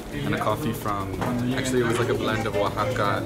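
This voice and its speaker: Loud music in the background plays as a man talks at a moderate pace with ordinary pitch variation. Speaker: coffee vlogger. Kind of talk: casual vlog chat. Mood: relaxed and enthusiastic. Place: cafe. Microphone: phone near.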